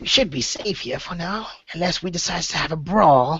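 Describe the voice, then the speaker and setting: In a put-on character voice of middle pitch, the speaker talks at a moderate pace. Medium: actual play.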